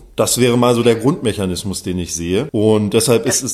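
A man with a normal speaking voice talks at a fairly quick pace, medium in pitch with ordinary pitch variation. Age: 40s. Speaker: journalist. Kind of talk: interview.

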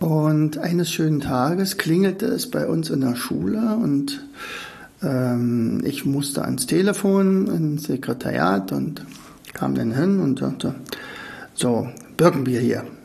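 A man with a fairly high pitch speaks very slowly, his pitch swinging very widely. The room echo is audible, and there's noticeable background noise. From East Germany. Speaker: podcast host, learning coach. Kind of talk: casual monologue. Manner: halting.

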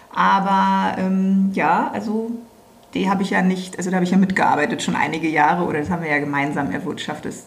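With noticeable background noise and audible room echo, a woman speaks at medium pitch and a fairly quick pace. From Berlin (West Berlin). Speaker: business owner. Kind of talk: casual chat.

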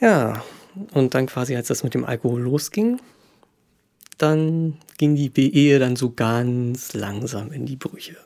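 A man speaks at a very slow pace with long, frequent pauses. His voice is medium in pitch, with a dark, mellow tone. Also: ordinary pitch variation. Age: 30s. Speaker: podcast guest sharing personal story. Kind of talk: casual chat.

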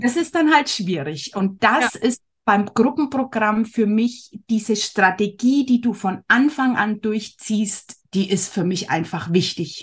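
Somewhat breathy and fairly high in pitch, a woman speaks at a very slow pace with lively intonation. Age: 40s. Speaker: handmade business owner, former course participant. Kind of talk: casual interview.

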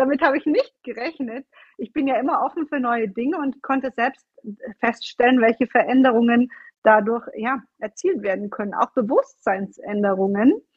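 A high-pitched woman at a moderate pace with lively intonation. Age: 30s. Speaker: fitness and nutrition coach. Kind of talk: interview. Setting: video call. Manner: animated.

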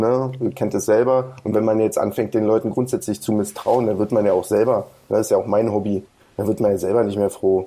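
A dark, mellow tone with fairly even intonation at a fairly quick pace. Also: man, fairly low pitch for a man, very even loudness. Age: 30s. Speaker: American football club coach. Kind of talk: interview. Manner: halting, many fillers.

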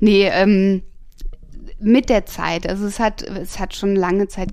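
A woman speaks in a dark, mellow tone. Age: 30s. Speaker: tattoo artist. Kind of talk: casual interview. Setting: at home.

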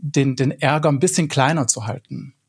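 Fairly even in intonation, a man keeps to a moderate pace. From Swabia, southern Germany. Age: 40s. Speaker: broadcast journalist. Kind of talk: casual panel discussion.

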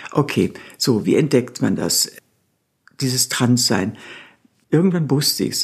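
A woman's very deep, low, somewhat breathy voice at a very slow pace, with lively intonation and long, frequent pauses. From Bavaria, Nuremberg. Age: 60s. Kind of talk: interview.

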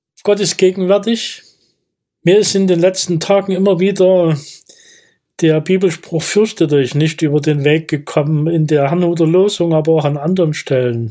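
On a very clean recording with a silent background, a man speaks at a moderate pace in a high voice with ordinary pitch variation. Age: 60s. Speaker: retired mayor and former deacon. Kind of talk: interview answers, reflective.

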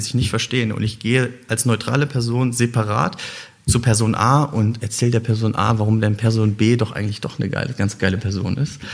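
A man talks fairly quickly, his medium-pitched voice keeping a fairly even intonation. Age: 30s. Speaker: social entrepreneur, startup founder. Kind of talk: interview conversation. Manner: halting, many fillers.

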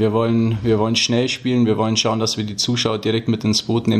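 Words pour out of this man very fast. He keeps a medium pitch. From Füssen, Allgäu, Bavaria. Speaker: ice hockey player. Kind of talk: interview.

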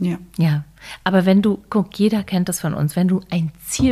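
A normal speaking voice, this woman's sits at a medium pitch with fairly even intonation. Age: 50s. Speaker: author and online platform founder. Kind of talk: casual chat.

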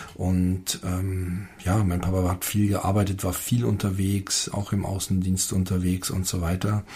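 Noticeable background noise runs under a man speaking at a fairly slow pace with hardly any pauses. His very deep, low voice stays monotone and flat. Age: 50s. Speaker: father, host's husband. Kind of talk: casual chat. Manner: halting, with many fillers.

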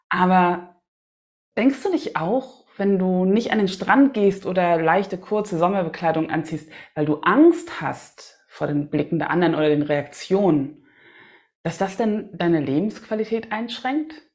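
A woman's normal speaking voice at medium pitch, fairly slow, with lively intonation. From Hamburg, northern Germany. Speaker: singer-songwriter and podcast host. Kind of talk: solo podcast monologue.

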